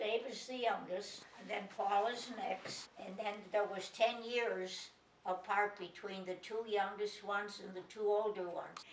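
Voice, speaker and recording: On a recording with noticeable background noise, a woman with an American accent talks at medium pitch and a fairly slow pace, her intonation monotone and flat while her loudness swings widely. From Chicago, US Midwest. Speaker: grandmother interviewed for family documentary. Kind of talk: family interview reminiscence.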